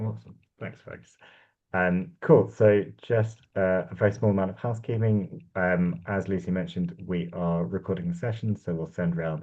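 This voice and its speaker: A man with a very deep, low pitch at a moderate pace. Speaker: climate policy engagement coordinator. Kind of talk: online workshop presentation. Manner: halting, repeats words.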